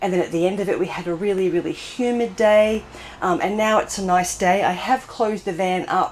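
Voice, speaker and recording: A woman speaks with an Australian accent. Her pitch is medium, with ordinary variation. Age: 60s. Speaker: van life vlogger. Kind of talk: casual vlog talk to camera. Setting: inside a closed camper van.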